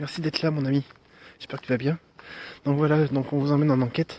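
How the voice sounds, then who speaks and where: This man's voice sits fairly high in pitch and carries a dark, mellow tone. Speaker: paranormal investigator streaming live. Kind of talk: live stream commentary. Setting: outdoors at night, live stream.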